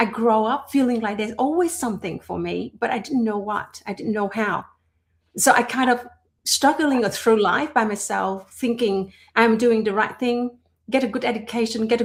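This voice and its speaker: Somewhat breathy and fairly high, a woman's voice carries a non-native accent, moving at a moderate pace with ordinary pitch variation. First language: not English. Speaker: entrepreneur and personal development host. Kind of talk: conversational podcast monologue. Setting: livestream. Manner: halting with fillers.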